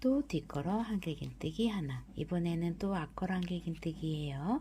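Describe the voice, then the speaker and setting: A woman speaking at a very slow pace. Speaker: crochet instructor. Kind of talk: crochet tutorial narration. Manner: subdued, low-energy; slow, step-by-step.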